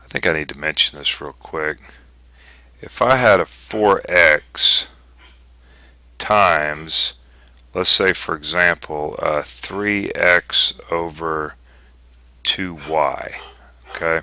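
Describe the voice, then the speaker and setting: A man speaks at a very slow pace. Long, frequent pauses break up his speech. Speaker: math teacher. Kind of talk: tutorial.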